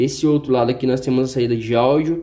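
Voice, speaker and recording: Speaking with a Brazilian accent, a man has a dark, mellow tone. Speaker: tech YouTuber; tech reviewer. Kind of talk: unboxing review; casual product review. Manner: casual, hesitant. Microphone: phone near.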